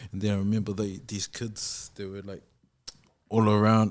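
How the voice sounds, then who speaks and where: With a New Zealand accent, a man speaks at a fairly low pitch. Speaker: podcast co-host. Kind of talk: casual interview conversation.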